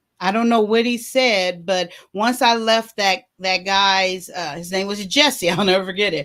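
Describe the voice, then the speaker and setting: In a normal speaking voice, a woman talks at medium pitch and a fairly slow pace, with ordinary pitch variation and hardly any pauses. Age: 50s. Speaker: talk show host sharing life story. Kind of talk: personal testimony.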